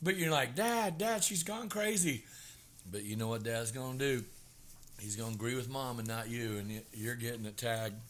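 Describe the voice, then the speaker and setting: Audible room echo surrounds a man with a Southern US accent. He speaks at a moderate pace in a medium pitch, with ordinary pitch variation. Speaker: podcast co-host, hairdresser. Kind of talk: casual chat.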